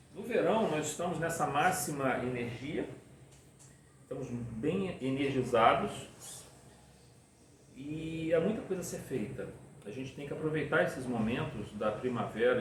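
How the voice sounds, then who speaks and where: Audible room echo and noticeable background noise surround a man talking at a fairly slow pace in a medium pitch. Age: 60s. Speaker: spiritist lecturer. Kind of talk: lecture.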